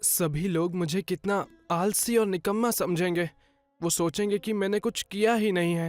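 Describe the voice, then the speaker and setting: Over music in the background, a man with a high pitch talks in fairly even intonation, the sound dry and close with no echo. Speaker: voice-over artist. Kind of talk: children's moral story narration. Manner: storytelling, warm.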